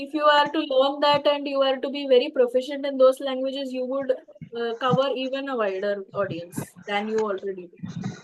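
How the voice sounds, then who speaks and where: Speaking in an Indian accent, a woman talks at a moderate pace with a high pitch and ordinary pitch variation. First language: Tamil. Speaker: English and public speaking teacher. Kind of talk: webinar talk with Q&A. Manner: halting with fillers.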